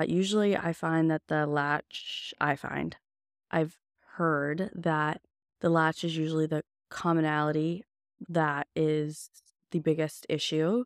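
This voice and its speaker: A woman speaks at a fairly slow pace with long, frequent pauses. Her pitch is very deep and low, and her intonation stays fairly even. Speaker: podcast host, new mother. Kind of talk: casual monologue.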